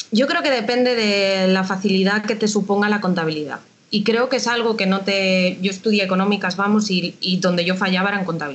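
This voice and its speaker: A woman speaks at a fairly quick pace. Her pitch is medium, with ordinary pitch variation. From Galicia, A Coruña. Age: 30s. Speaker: tax administration civil servant. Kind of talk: interview. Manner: casual, hesitant.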